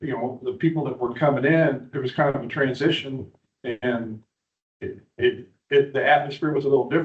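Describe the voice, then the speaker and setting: Somewhat breathy delivery with an American accent, fairly even intonation and a fairly quick pace. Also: man. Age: 60s. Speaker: bar owner. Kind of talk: public hearing testimony. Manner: halting.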